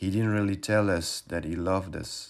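A man with a French accent speaks at a fairly slow pace and fairly even intonation. The recording is very clean, with a silent background. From France, Paris suburbs. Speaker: interviewee. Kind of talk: personal testimony.

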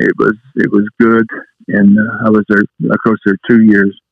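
Here a man talks with a Southwest US accent. His voice is fairly low and his pace fairly slow. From New Mexico. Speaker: retired high school coach. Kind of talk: interview. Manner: halting.

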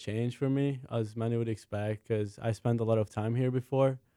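Speaking with a Hungarian accent, a man has a dark, mellow tone, ordinary pitch variation, and a moderate pace, on a very clean recording with a silent background and a dry, close sound with no echo. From Hungary, Budapest. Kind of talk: casual sports talk show. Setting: studio.

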